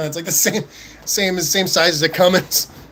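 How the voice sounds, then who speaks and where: A man in an American accent speaks with a relaxed tone, high pitch and moderate pace over noticeable background noise. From Southern California. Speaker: live stream host. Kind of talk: casual chat reading live chat. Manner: relaxed, halting with fillers.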